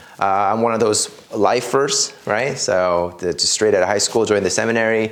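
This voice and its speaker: Through noticeable background noise, a man with a Korean accent keeps a very even loudness at a moderate pace. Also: medium pitch for a man, fairly even intonation. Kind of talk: casual interview chat. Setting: walking from the sacristy, then driving. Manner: hesitant, many fillers.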